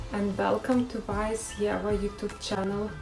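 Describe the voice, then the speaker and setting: A woman's fairly high voice at a fairly slow pace, with a non-native accent and fairly even intonation, over background music and audible room echo. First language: not English. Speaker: beauty vlogger. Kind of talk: tutorial. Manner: hesitant, with filler sounds.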